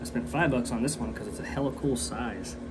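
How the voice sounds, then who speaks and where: Against loud background noise, a man with an American accent speaks at a fairly quick pace. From US, Welsh heritage. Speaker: artist and video creator. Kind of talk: casual vlog narration while working. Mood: relaxed, joking. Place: workshop. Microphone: phone near.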